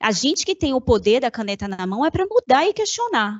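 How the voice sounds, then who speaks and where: Pitch swings very widely throughout, though the pace stays moderate. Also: woman. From Salvador, Bahia, Brazil. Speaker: corporate communication manager. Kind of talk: panel discussion.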